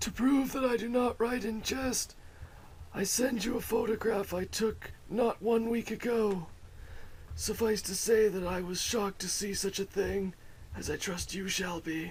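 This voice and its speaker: Over clear background noise, a man uses a put-on character voice pitched high. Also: moderate pace. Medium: audio drama. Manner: formal, precise, old-fashioned.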